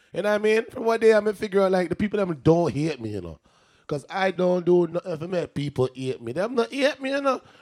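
Very fast and animated, a man speaks at a high pitch with very wide pitch swings. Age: 20s. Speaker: DJ and rapper. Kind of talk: casual livestream DJ chat.

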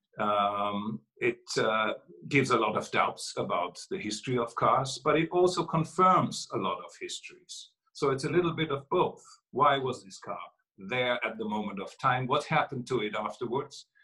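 This man has a non-native accent, a medium pitch and a bright, sharp tone. He talks at a moderate pace with lively intonation and big swings in loudness. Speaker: author and classic car collector. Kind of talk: interview. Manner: halting, many fillers.

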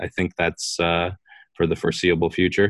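A man talks at a fairly quick pace in a very deep, low voice. The sound is dry and close with no echo, over a quiet background. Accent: American. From Wisconsin. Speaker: clothing store founder. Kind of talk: interview.

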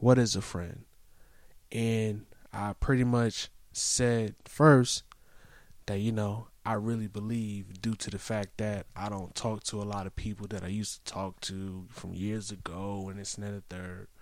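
A man with a normal speaking voice, fairly low in pitch, talks at a fairly slow pace with fairly even intonation and big swings in loudness. The recording is very clean, with a silent background. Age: 30s. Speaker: podcast host. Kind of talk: casual chat.

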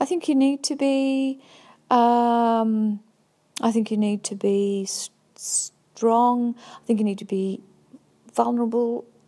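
A woman's fairly high-pitched, dark, mellow tone, very slow pace, fairly even intonation and long, frequent pauses, on a very clean recording with a silent background. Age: 50s. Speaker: visual artist. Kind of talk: personal testimony monologue. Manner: halting, many fillers.

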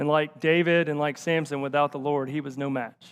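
A man with a Tennessee accent talks at a fairly quick pace. His intonation is monotone and flat, and the background is quiet. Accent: Southern US (Tennessee). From rural Tennessee, north of Nashville. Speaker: associate pastor. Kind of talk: sermon.

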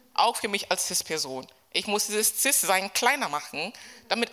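A woman speaks at a moderate pace with a medium pitch, and there is noticeable background noise. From Kenya. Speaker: gender studies professor. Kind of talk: panel discussion. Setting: stage with audience.

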